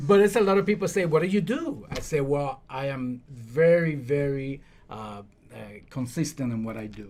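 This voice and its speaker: A man with a Dominican accent speaks at a moderate pace in a fairly high pitch, his loudness swinging widely. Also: lively intonation. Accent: non-native English, Dominican Spanish. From Dominican Republic. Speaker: realtor and podcast co-host. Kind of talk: casual podcast chat. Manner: hesitant, searching for words.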